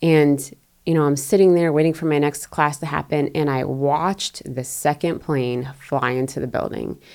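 A woman speaks at a very deep, low pitch. Her pace is moderate, with ordinary pitch variation. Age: 40s. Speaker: former CIA officer, podcast co-host. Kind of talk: casual chat.

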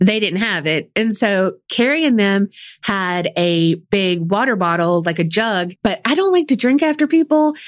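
Using very wide pitch swings, a woman with a medium pitch speaks in a Southern US accent. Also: very even loudness, very clean recording, silent background. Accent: Southern US, country. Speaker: true crime podcast co-host. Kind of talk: casual storytelling chat. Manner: slow drawl.

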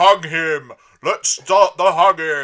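A man shouts in a put-on character voice. His pitch is high. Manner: shouting.

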